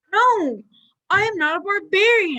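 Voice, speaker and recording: The pitch is extremely high and squeaky in this put-on character voice. Its pace stays moderate. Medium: stage play. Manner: earnest, defensive.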